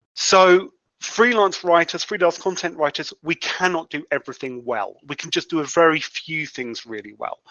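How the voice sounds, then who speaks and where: A man with a British accent speaks in a high voice, his loudness swinging widely and his intonation lively, with hardly any pauses. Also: moderate pace. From UK. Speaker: freelance content writer. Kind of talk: interview. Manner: halting, many repetitions.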